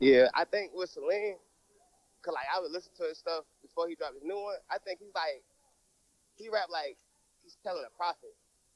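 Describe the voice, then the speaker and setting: A man with an American accent speaks at a fairly quick pace in a high pitch for a man, his ordinary pitch variation paired with big swings in loudness and long, frequent pauses, all in a dry, close sound with no echo. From US South, Georgia, Tybee Island near Savannah. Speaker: rapper. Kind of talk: casual interview.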